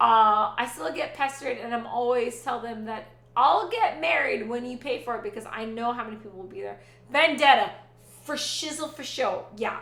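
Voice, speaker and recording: A woman speaks loudly in an animated tone at a moderate pace, her high pitch showing ordinary variation. Room echo is audible, and background noise is noticeable. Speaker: Twitch streamer. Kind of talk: casual chat.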